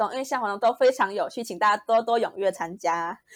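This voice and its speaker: Recorded very cleanly over a silent background, a woman talks at a very fast pace. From Malaysia. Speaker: recent university graduate. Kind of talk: interview.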